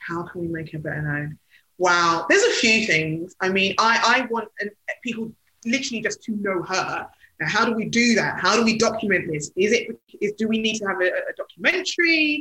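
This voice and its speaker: Her tone is bright and sharp, with a London accent. The woman talks at a moderate pace with lively intonation. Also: fairly high pitch for a woman. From London (Hackney). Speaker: PR consultant and cultural commentator. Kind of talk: interview.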